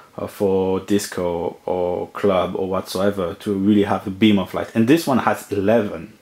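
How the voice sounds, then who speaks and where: A man with a French accent, fairly low pitch, fairly even intonation and moderate pace. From France. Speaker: lighting equipment reviewer. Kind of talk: product review talk to camera.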